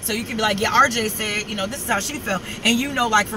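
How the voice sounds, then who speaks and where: Noticeable background noise behind a speaker with an American accent. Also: woman. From New York. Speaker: vlogger. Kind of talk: casual vlog monologue. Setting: in a car.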